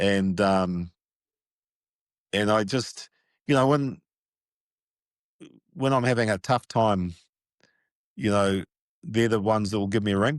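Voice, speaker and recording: At a fairly slow pace with long, frequent pauses, the speaker keeps very even loudness and ordinary pitch variation, the sound dry and close with no echo over a quiet background. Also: man, fairly low pitch for a man. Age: 60s. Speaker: sports media producer and executive. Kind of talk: casual interview.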